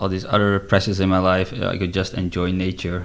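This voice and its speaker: A man with a very deep, low pitch talks in a monotone, flat intonation. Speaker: retreat founder, former poker player. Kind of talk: casual interview conversation.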